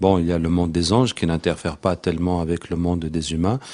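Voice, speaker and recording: A man speaks at a fairly quick pace in a very deep, low voice. The background is quiet. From Tunisia. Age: 40s. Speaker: Quranic healer. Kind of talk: interview.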